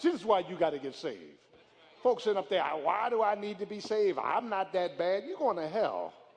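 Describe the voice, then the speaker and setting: Over noticeable background noise, a man speaks at a fairly quick pace in a high pitch with ordinary pitch variation. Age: 50s. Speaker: pastor. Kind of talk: sermon. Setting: church. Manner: animated.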